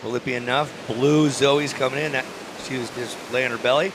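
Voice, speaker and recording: A man is talking. Background noise is noticeable throughout. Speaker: surf contest announcer. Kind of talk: live commentary.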